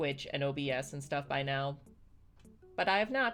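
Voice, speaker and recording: Music plays behind a woman with an American accent and a very deep, low pitch. She speaks at a moderate pace with ordinary pitch variation. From United States. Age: 30s. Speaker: streamer. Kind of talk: casual chat. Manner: animated.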